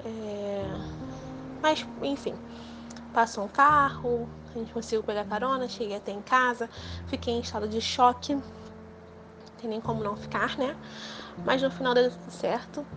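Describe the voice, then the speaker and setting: Someone speaks at a fairly slow pace with long, frequent pauses and big swings in loudness, over noticeable background noise. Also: woman. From Rio de Janeiro, Brazil. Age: 20s. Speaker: near-death experience survivor. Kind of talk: testimony.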